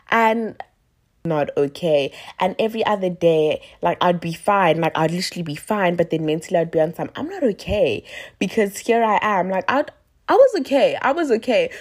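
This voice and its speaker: Animated in tone, a woman speaks at medium pitch and a moderate pace with lively intonation. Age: 20s. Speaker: podcaster. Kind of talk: casual monologue.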